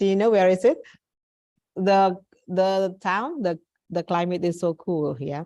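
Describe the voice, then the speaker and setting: At a fairly slow pace with long, frequent pauses, a woman with an Indonesian accent speaks in a dark, mellow tone at a medium pitch with ordinary pitch variation. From Indonesia, East Java. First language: Javanese. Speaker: English teacher. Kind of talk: online class lecture.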